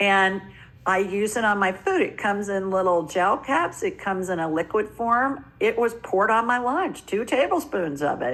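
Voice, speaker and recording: A woman with an unremarkable speaking voice talks at a medium pitch and a moderate pace with lively intonation. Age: 60s. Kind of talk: interview.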